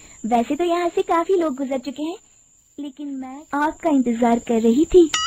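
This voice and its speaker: In a put-on character voice, a woman cackles at a high pitch and a moderate pace. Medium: cartoon. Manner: cackling, taunting.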